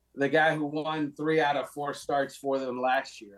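At a moderate pace, a man speaks in a normal speaking voice, fairly high in pitch, with fairly even intonation. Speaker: NFL writer. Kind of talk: casual sports talk interview.

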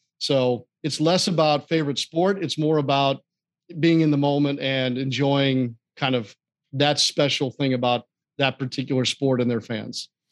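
With an American accent, a man talks at a moderate pace in a plain, everyday voice, fairly high-pitched for a man, with fairly even intonation and a dry, close sound with no echo. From US Midwest, St. Louis, Missouri. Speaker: sports play-by-play broadcaster. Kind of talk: interview, casual chat. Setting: studio, live at a restaurant venue.

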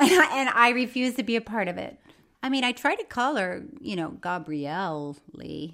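At a moderate pace, a woman with an American accent talks in a bright, sharp tone, her fairly high pitch making very wide swings. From Florida. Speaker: podcast co-host. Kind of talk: casual chat.

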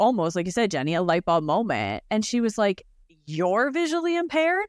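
Very wide pitch swings mark this voice with a Canadian accent, heard on a very clean recording with a silent background. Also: woman. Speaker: colleague who is visually impaired and travels. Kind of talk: casual chat.

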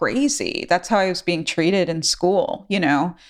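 A woman with an unremarkable speaking voice and ordinary pitch variation, captured in a very clean recording against a silent background. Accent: American. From New York City, the Bronx. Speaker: musician, singer-songwriter. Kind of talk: casual interview.

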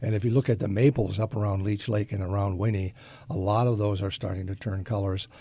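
A man with an American accent speaks very fast in a dark, mellow, somewhat breathy tone. The recording is very clean, with a silent background. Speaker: fishing guide. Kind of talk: casual fishing report. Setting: studio.

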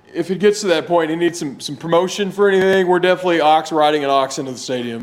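Through noticeable background noise, a man with a fairly high pitch races along at a very fast pace with hardly any pauses. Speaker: sports podcast co-host. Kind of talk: casual chat. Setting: outdoors.

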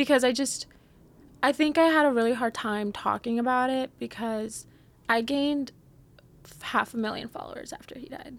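With an American accent, a woman speaks at a high pitch and a moderate pace, her loudness swinging widely, her pitch varying in an ordinary way, and long, frequent pauses breaking up her speech. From Texas, San Antonio. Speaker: content creator. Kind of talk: casual chat.

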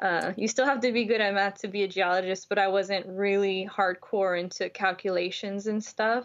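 Using a normal speaking voice, a woman with an American accent talks at a moderate pace and medium pitch, with fairly even intonation, very even loudness and hardly any pauses. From Houston, Texas. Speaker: geochemistry PhD student. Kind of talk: casual interview.

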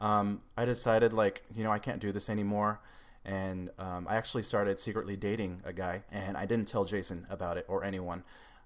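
At a fairly quick pace, a man with a West Coast US accent speaks in a fairly low pitch with monotone, flat intonation. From Seattle, Washington. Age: 20s. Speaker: musician and YouTuber. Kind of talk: casual interview chat.

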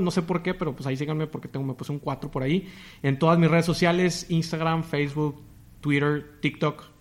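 A man at a fairly quick pace. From Tamaulipas, northern Mexico. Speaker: podcast host. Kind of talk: interview.

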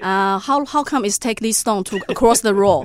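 A woman speaks fairly quickly in a Taiwanese accent, her intonation lively. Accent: Taiwanese Mandarin-accented English. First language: Mandarin Chinese. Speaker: cafe owner. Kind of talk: casual interview. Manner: halting, with many fillers.

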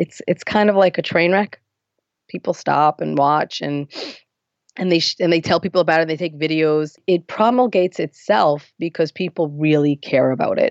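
A woman with an ordinary speaking voice and an American accent, fairly low-pitched, at a moderate pace with ordinary pitch variation. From US Northeast, Lakewood, New Jersey. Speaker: activist and writer. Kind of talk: interview conversation.

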